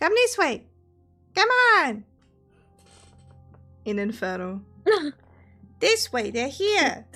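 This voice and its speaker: In a put-on character voice, a woman squeaks at a high pitch with very wide pitch swings. She speaks very slowly over faint background music. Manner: annoying, urgent, calling.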